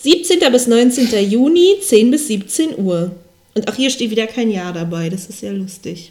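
Here is a woman with an ordinary speaking voice. She talks at a fairly slow pace with a fairly high pitch. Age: 20s. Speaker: podcast co-host. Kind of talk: casual chat. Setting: home recording in high-ceilinged old flat. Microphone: poor mic, room echo.

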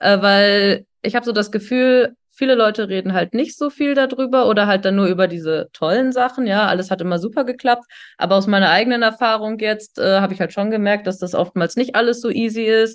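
In a normal speaking voice, a woman talks at a fairly quick pace with hardly any pauses, her pitch fairly high with ordinary variation. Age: 30s. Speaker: engineer. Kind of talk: casual chat.

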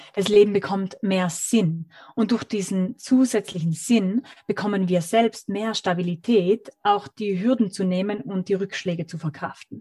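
A woman speaks at a fairly slow pace in a medium pitch, her dark, mellow tone somewhat breathy, with a dry, close sound and no echo. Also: ordinary pitch variation. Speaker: author and digital detox expert. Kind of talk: interview. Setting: video call. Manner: lyrical, expressive.

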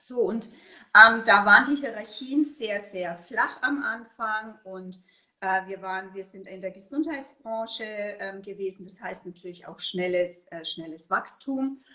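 At a very slow pace, a woman with a slight Franconian accent and a fairly high pitch talks with ordinary pitch variation and big swings in loudness. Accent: slight Franconian, rolled R. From Upper Franconia, Germany. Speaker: burnout prevention consultant. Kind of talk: interview.

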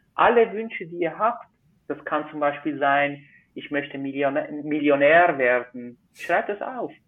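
A man speaks with a Swiss accent, his pitch fairly high and his intonation lively. His loudness swings widely. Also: fairly slow pace. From Switzerland. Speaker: magician. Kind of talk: casual interview.

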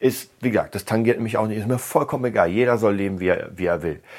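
A man with a plain, everyday voice speaks at a fairly low pitch, his intonation lively. The recording is very clean, with a silent background. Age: 30s. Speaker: podcast host for musicians. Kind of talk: solo monologue podcast. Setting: home studio room.

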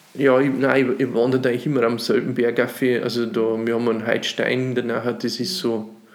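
The speech comes at a fairly quick pace with fairly even intonation, and audible room echo fills the recording. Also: man. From Upper Palatinate, Bavaria (Runding near Cham). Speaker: cabaret artist and musician. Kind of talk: casual interview chat. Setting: dining room at host's home.

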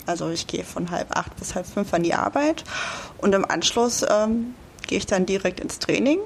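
Against noticeable background noise, a woman with a medium pitch speaks at a moderate pace with lively intonation. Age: 30s. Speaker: amateur bodybuilder. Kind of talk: interview.

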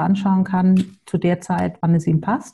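A woman talks at a very slow pace in a medium pitch, somewhat breathy, with a dark, mellow tone and ordinary pitch variation. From Hamburg, northern Germany. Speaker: separation coach. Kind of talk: podcast interview.

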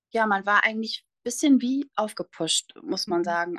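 At a moderate pace, a woman speaks with a bright, sharp tone in a dry, close recording with no echo. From northern Germany, near Bremerhaven. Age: 20s. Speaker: nurse and cancer survivor. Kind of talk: interview, personal testimony.

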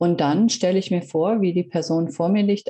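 The woman's tone is dark and mellow. She speaks at a moderate pace with ordinary pitch variation. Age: 40s. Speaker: reiki practitioner and coach. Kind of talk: interview. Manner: hesitant, many fillers.

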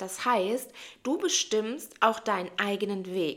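Her pitch runs fairly high. This woman's intonation is lively. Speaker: spiritual coach / life coach. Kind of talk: motivational monologue.

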